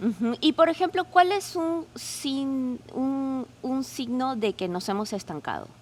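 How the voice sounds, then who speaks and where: A woman talks very slowly at a high pitch, with very wide pitch swings. She leaves hardly any pauses. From Peru. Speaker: podcast co-host asking questions. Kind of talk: casual interview chat.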